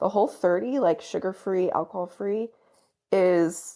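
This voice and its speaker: An ordinary speaking voice from a woman at a medium pitch, moderate in pace with lively intonation, on a very clean recording with a silent background. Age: 30s. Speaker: digital marketing agency co-owner. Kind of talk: casual chat. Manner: filler-heavy, many repeats.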